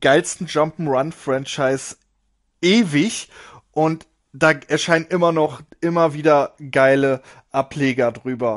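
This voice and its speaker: With an ordinary speaking voice, a man talks at a fairly slow pace and fairly high pitch, showing ordinary pitch variation against a quiet background. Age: 30s. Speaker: podcast host, gaming youtuber. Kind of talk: casual monologue.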